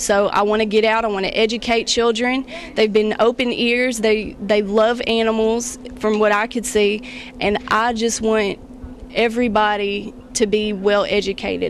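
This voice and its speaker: A woman with a Kentucky accent speaks in a fairly high, flat monotone over noticeable background noise. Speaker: beauty pageant contestant. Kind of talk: interview. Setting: library.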